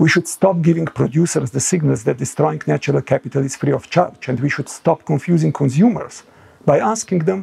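Over a quiet background, a man's dark, mellow tone carries vocal fry and ordinary pitch variation. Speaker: panel co-chair. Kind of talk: prepared conference address. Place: home room. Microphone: lapel.

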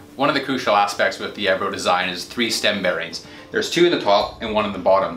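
A man speaks very fast at a fairly low pitch. Audible room echo and faint background music are present. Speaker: presenter. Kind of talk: product presentation. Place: office.

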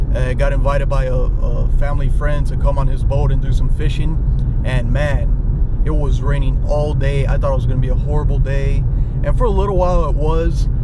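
A man talks fairly quickly over loud background noise, his voice dry with no echo. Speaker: fishing vlogger. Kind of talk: casual vlog chat. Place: car. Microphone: phone near.

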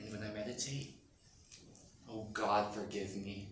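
Very slow speech from a man, plus audible room echo and light background noise. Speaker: actor. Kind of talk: theatrical monologue. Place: hall. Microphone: camera far.

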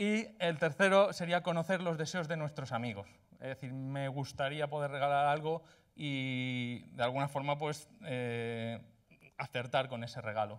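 This man has a fairly high pitch and ordinary pitch variation. He talks at a fairly slow pace against a quiet background. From Spain, Valencia; Spain. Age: 30s. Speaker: coding bootcamp graduate presenting project; presenter. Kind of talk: project demo presentation; project presentation. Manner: hesitant, many filler sounds. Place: hall. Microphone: handheld.

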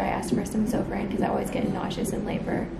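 A woman speaks over loud background noise. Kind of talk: casual vlog chat. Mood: shaken but relieved.

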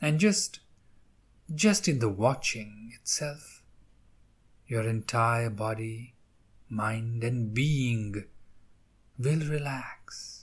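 On a very clean recording with a silent background, a man at medium pitch speaks in a calm, soothing tone that is somewhat breathy. He goes at a very slow pace with long, frequent pauses and ordinary pitch variation. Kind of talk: guided meditation. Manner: slow, soft, calm and soothing with long pauses.

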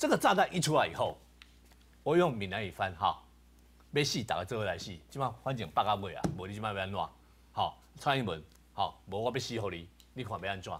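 Somewhat breathy speech moves at a fairly quick pace over noticeable background noise. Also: man, fairly low pitch for a man. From Taiwan. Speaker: political commentator. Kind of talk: talk show debate; political commentary. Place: studio.

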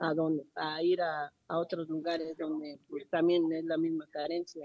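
At a fairly slow pace, a woman talks in a fairly low pitch, the sound dry with no echo. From Mexico, Chalco (State of Mexico); State of Mexico. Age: 50s. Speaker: flood-affected resident. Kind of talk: on-site news interview. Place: street.

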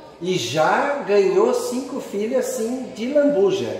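The speech moves at a very slow pace. Strong room echo fills the recording, along with light background noise. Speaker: interviewer. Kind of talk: casual interview questions. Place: home room. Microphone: phone near.

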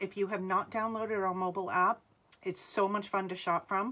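A woman's voice has a bright, sharp tone. Her intonation stays fairly even. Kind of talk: live sales stream chat. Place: home room. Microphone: phone near.

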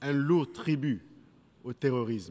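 Ordinary pitch variation runs through a man's speech. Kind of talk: formal speech. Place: hall. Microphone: podium.

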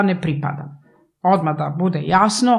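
The woman's pitch rises and falls with ordinary variation. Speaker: interview guest. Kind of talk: interview answer. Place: studio. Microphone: studio mic.

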